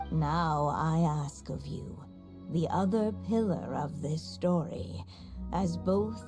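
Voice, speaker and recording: Someone performs a put-on character voice at a middle pitch and a very slow pace. Clear music plays in the background. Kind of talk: storybook narration. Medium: machinima. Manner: gentle, measured.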